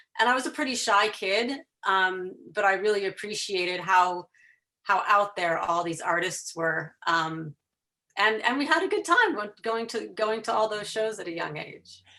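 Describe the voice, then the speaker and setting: Bright and sharp in tone, a woman with a slight Chicago accent speaks with lively intonation. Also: medium pitch for a woman, moderate pace. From Chicago area, US Midwest. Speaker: photographer and fan telling her story. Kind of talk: podcast interview.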